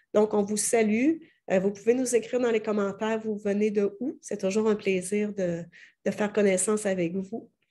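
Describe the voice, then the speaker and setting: A woman speaks in a Quebec accent with a dark, mellow tone. Her intonation is fairly even over a quiet background. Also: medium pitch for a woman, moderate pace. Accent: Québécois French. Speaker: interviewer. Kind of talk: interview.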